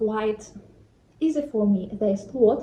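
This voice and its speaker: At a very slow pace, a woman with a non-native accent speaks with a fairly high pitch and ordinary pitch variation. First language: not English. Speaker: vlogger. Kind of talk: vlog talk to camera. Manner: hesitant, with fillers.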